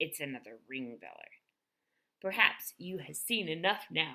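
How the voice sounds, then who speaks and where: Using a put-on character voice, a woman speaks at a moderate pace with a very deep, low pitch. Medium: read story. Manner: playful, ungrammatical.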